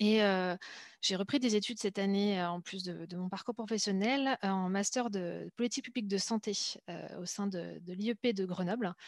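A plain, everyday voice from a woman at medium pitch and a moderate pace, with fairly even intonation, a dry, close sound with no echo and a quiet background. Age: 30s. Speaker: speech therapist and political newcomer. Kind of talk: panel discussion.

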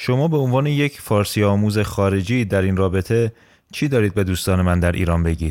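In an unremarkable speaking voice, a man talks fairly quickly at a fairly low pitch with lively intonation and very even loudness. The recording is very clean, with a silent background. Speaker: podcast host. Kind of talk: scripted narration.

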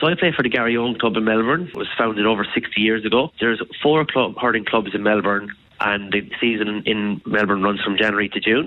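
Over noticeable background noise, a man with a fairly low pitch keeps his loudness very even and shows ordinary pitch variation. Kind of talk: radio interview chat, explaining a sport. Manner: warm, enthusiastic, fairly measured.

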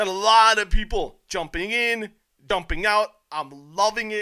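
Against a silent background in a very clean recording, a man projects a raised, high voice with a bright, sharp, animated tone and ordinary pitch variation. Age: 30s. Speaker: wrestling and MMA podcast host. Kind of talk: casual solo commentary podcast.

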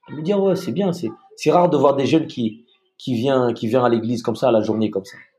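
Talking at a fairly quick pace, a man with an unremarkable speaking voice at medium pitch uses lively intonation and big swings in loudness. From Madagascar. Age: 40s. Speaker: retired special forces soldier. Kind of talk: casual interview.

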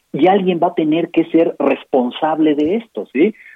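A man with a normal speaking voice talks at a moderate pace, his fairly high pitch carrying lively intonation. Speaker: physician and health policy author. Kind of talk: interview. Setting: phone call.

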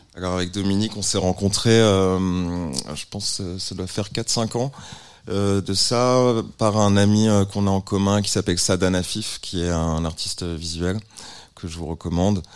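A man's very deep, low pitch at a fairly slow pace with fairly even intonation. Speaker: musician. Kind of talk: casual chat.

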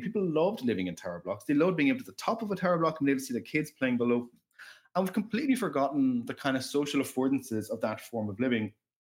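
Very wide pitch swings mark this man's voice. He speaks at a very fast pace. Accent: Irish. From Ireland. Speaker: professor. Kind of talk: casual interview chat. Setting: remote call. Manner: halting, many repetitions and fillers.

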